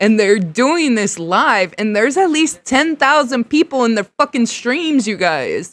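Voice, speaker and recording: A loud woman's voice with very wide pitch swings at a very slow pace, in a very clean recording with a silent background and a dry, close sound with no echo. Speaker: live streamer reacting to videos. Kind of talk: live stream reaction rant. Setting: garage, live stream. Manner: animated.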